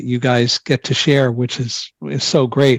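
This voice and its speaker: A man speaks at a moderate pace in a somewhat breathy voice with fairly even intonation, recorded with a dry, close sound and no echo. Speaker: podcast host. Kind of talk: podcast interview host talk.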